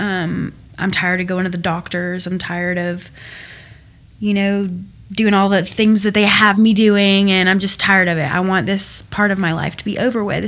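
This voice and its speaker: A woman with a Southern US accent, flat and monotone, at a moderate pace. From US South, Georgia. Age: 20s. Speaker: recovering addict. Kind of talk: testimony.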